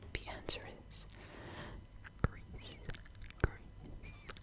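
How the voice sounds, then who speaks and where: Noticeable background noise surrounds the recording. A woman whispers through it very slowly. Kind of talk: ASMR trivia quiz, close whispering. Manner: whispered, soft, slow.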